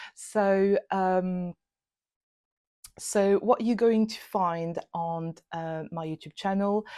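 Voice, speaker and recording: In a French accent, a woman with a medium pitch and a dark, mellow tone speaks at a very slow pace with fairly even intonation and big swings in loudness, in a dry, close sound with no echo. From France. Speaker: illustrator and YouTuber. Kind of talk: channel introduction talk. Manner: hesitant, many fillers.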